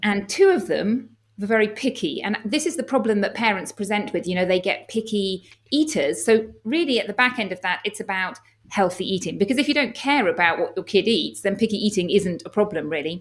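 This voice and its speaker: A woman with an English accent and a medium pitch talks at a fairly quick pace with lively intonation. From England. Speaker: doctor and health coach. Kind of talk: podcast interview.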